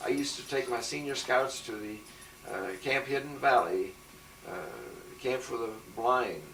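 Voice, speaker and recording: A man with an American accent talks at a moderate pace, with a medium pitch, ordinary pitch variation, and long, frequent pauses. Audible room echo and noticeable background noise are present. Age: 70s. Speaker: retired teacher. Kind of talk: oral history interview.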